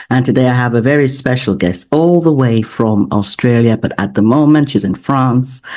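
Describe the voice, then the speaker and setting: The speech runs at a moderate pace with hardly any pauses and very even loudness, over noticeable background noise. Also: man, medium pitch for a man, ordinary pitch variation. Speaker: podcast host and life coach. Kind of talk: podcast host introduction.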